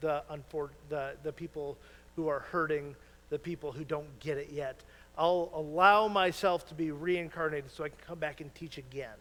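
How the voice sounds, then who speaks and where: Here is a man with a plain, everyday voice and a fairly high pitch. He keeps a moderate pace and fairly even intonation. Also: big swings in loudness. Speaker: church teacher leading a class on world religions. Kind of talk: lecture.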